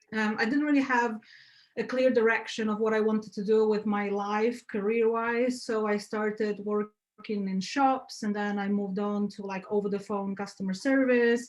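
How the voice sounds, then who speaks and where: A woman with a Polish accent speaks in a fairly high pitch with monotone, flat intonation. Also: moderate pace. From Poland. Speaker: graphic designer. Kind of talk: guest talk on video call. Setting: video call. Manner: loud.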